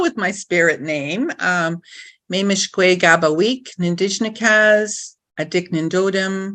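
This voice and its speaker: Her tone bright and sharp, a woman speaks at a very slow pace. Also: quiet background. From northwestern Ontario, Canada (First Nations). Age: 60s. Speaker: identity and purpose coach. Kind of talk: casual chat.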